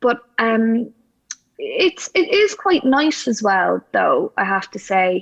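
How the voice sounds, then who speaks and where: A woman with a Dublin accent talks at a fairly slow pace. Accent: Irish, Dublin city. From Ireland. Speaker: actress. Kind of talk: interview conversation. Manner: halting, many restarts.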